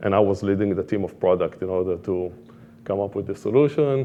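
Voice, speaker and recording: A man with an Israeli accent at a fairly quick pace. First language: Hebrew. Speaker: product manager. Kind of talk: conference talk.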